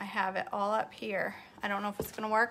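A woman at a fairly quick pace, with monotone, flat intonation over light background noise. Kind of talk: casual vlog chat. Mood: relaxed, self-deprecating. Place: kitchen. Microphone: phone near.

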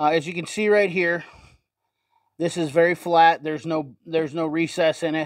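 The speech moves at a fairly quick pace, with dry sound, no echo and a quiet background. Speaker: tool reviewer. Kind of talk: casual tool review commentary. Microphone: phone near.

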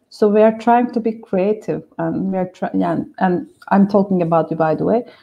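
A woman with a Turkish accent, medium pitch, ordinary pitch variation and a moderate pace. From Turkey. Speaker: SEO specialist. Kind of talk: live webinar discussion. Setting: video call. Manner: excitable. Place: home room. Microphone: video call.

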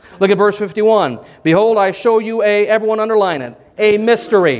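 This is a man with a high pitch. He speaks at a moderate pace. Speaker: preacher. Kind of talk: sermon. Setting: church. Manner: animated, conversational, bantering with the congregation. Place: church.

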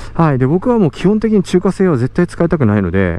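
Very wide pitch swings fill a man's very fast speech, recorded as a dry sound with no echo. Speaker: motovlogger rider. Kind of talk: casual vlog chat. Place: motorbike. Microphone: helmet.

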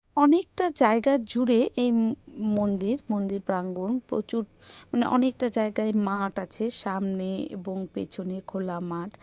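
A woman speaks in a dark, mellow tone at a medium pitch, with a West Bengal accent. The sound is dry and close, with no echo. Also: ordinary pitch variation, quiet background. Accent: West Bengal Bengali. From West Bengal, India. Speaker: family vlogger. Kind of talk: vlog narration.

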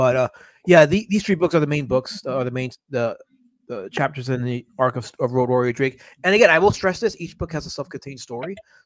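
A man talks at a very fast pace. His pitch sits in the medium range and varies in an ordinary way. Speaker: comic book creator. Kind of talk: casual chat. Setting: video call.

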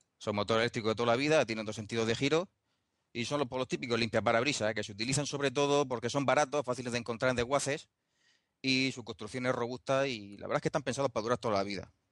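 Recorded with a dry, close sound and no echo, a man talks at a very fast pace with ordinary pitch variation. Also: medium pitch for a man, quiet background. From Spain, Murcia. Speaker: DIY motion simulator builder. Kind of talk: casual chat.

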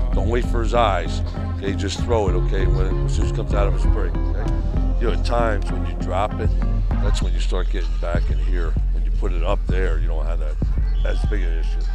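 Over loud background music, a man talks at a fairly quick pace in a dry sound with no echo. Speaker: football coach. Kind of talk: on-field coaching instructions. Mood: upbeat, joking. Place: stadium. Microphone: lapel.

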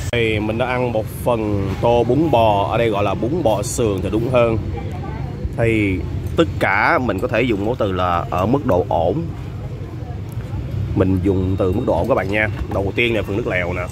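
The speaker goes at a fairly slow pace with long, frequent pauses, in a dry sound with no echo and noticeable background noise. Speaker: food vlogger. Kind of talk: food review commentary. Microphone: phone near.

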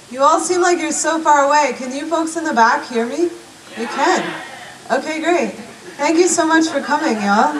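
A woman's high pitch with ordinary pitch variation, at a moderate pace with long, frequent pauses, over noticeable background noise. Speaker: performing poet. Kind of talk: stage banter. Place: stage.

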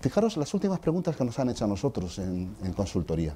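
The speaker is a man. His voice has a dark, mellow tone. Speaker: work psychologist, HR expert. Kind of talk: conference talk. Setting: stage with audience. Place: hall. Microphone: lapel.

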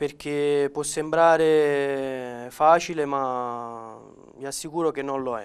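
A man's fairly high voice at a very slow pace, with fairly even intonation. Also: big swings in loudness. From Campania, Naples province; Campania, Italy. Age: 20s. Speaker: amputee footballer and paratrooper; interviewee. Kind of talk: interview. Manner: halting, many repetitions and fillers. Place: studio. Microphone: lapel.

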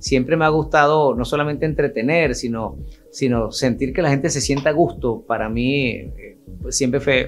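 A man with a Venezuelan accent talks at a fairly quick pace in an animated tone with ordinary pitch variation, faint music playing in the background. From Venezuela, Barquisimeto. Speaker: radio announcer and host. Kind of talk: casual interview answer telling life story. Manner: animated, friendly. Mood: warm, nostalgic, smiling. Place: studio.

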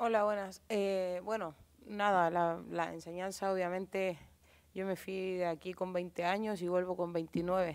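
A woman with a medium-pitched voice speaks at a fairly slow pace in a monotone, flat intonation. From Chile. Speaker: footballer. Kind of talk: press conference. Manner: halting. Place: hall. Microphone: podium.

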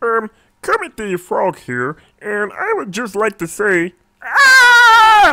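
This is a cartoonish character voice. It moves at a very slow pace. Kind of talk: cartoon character impressions.

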